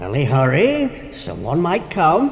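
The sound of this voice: A slow, put-on character voice from a man, fairly high-pitched, with vocal fry and very wide pitch swings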